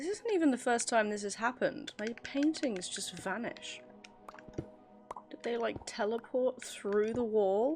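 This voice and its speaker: A woman with an English accent speaks fairly slowly in a fairly high pitch and a relaxed tone, with ordinary pitch variation and big swings in loudness, as music plays in the background. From England. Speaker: gaming video creator. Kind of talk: casual gameplay commentary. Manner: relaxed, chatty.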